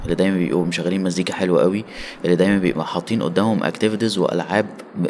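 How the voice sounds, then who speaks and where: The man rattles along at a very fast pace while noticeable background noise continues. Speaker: solo traveler. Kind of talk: casual chat.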